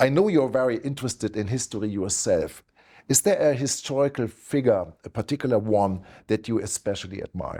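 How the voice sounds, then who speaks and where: A man with a German accent speaks at a fairly quick pace with lively intonation, medium pitch and a dark, mellow tone. The recording is very clean and the background silent. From Germany. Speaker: investment platform founder and interviewer. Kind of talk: interview. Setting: office in New York.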